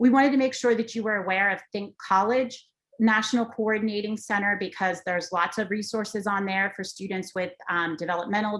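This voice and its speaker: A woman has a normal speaking voice with medium pitch and ordinary pitch variation. She talks at a fairly quick pace. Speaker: transition education presenter. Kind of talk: webinar presentation.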